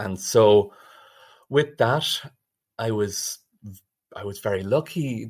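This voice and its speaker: A man with an Irish accent, fairly low-pitched and somewhat breathy, with lively intonation, a very slow pace and long, frequent pauses, on a very clean recording with a silent background. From Ireland. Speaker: biomedical engineering researcher. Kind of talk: interview.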